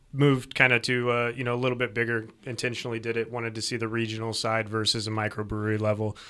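On a very clean recording with a silent background, a man speaks very fast in a monotone, flat delivery with a medium pitch and a bright, sharp tone. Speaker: brewery founder, guest. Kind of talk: casual chat, podcast conversation over beers.

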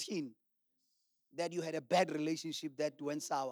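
Here is an ordinary speaking voice from a man, fairly high in pitch with ordinary pitch variation. He goes at a moderate pace in a dry, close sound with no echo. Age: 40s. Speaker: pastor. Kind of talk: sermon.

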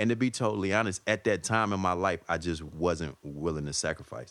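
With an American accent, a man talks at a moderate pace with vocal fry and ordinary pitch variation. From US South. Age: 40s. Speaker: stand-up comedian. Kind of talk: casual chat. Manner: laid-back.

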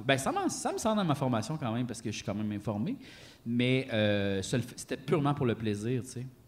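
Speaking at a moderate pace, a man with a medium pitch has an animated tone and ordinary pitch variation. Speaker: podcast co-host. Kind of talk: live podcast with audience. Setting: stage with audience.

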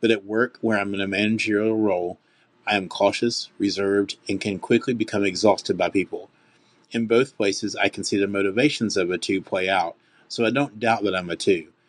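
A man with a Southern US accent speaks at a fairly quick pace in a fairly low voice. His intonation is fairly even, and the background is quiet. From US South, Nashville. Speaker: manager. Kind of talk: voicemail question.

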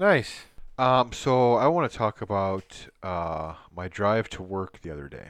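Over a quiet background, a man with a fairly low voice talks fairly slowly, with lively intonation and big swings in loudness. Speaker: podcast co-host. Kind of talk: casual chat. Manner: animated.

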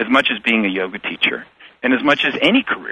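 With an American accent, a man speaks at a moderate pace. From United States. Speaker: yoga teacher and author. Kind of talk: interview. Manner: halting.

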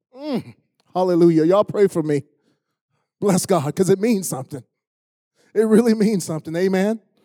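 With an American accent, a man speaks at a moderate pace, his high-pitched voice dark and mellow in tone. His intonation is lively, broken by long, frequent pauses, and the sound is dry and close with no echo. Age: 60s. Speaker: pastor. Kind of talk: sermon. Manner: animated.

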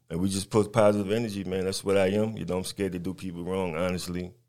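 Very deep and low in pitch, a man with an American accent speaks at a very fast pace. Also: very clean recording, silent background. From Brooklyn, New York. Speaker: rapper. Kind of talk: radio interview.

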